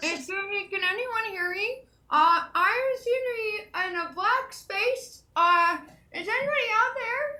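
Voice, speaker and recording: A woman puts on a character voice at an extremely high pitch, with lively intonation and a fairly slow pace. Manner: lost, calling out.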